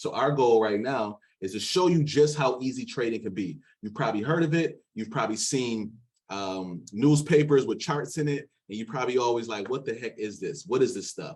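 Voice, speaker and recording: Lively intonation marks a man's medium-pitched voice. His tone is animated. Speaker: day trading coach. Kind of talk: sales pitch. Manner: fast.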